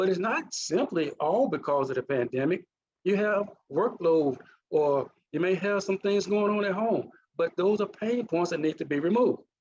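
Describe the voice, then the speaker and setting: This man talks at a moderate pace in a Mississippi accent, his pitch high for a man. His intonation is lively and his loudness very even. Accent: Mississippi accent, still present. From US South, Mississippi. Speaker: naval officer and leadership trainer. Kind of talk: conference presentation.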